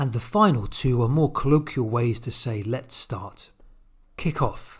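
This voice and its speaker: A man with a British accent, somewhat breathy, at a moderate pace. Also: very clean recording, silent background. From London, England. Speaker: English teacher. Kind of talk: language lesson to camera.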